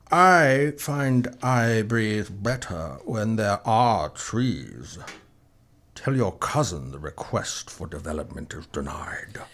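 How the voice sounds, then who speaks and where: A man uses a put-on character voice at a medium pitch, speaking at a very slow pace with very wide pitch swings. The recording is very clean, with a silent background. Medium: audio drama. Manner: commanding, measured.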